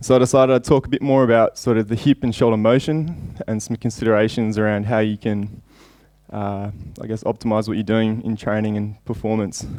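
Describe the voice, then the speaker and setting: This man has an Australian accent, a medium pitch and fairly even intonation, and he talks at a fairly quick pace. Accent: thick Australian. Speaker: javelin coach and sports scientist. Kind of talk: conference lecture. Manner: fast; hesitant with fillers.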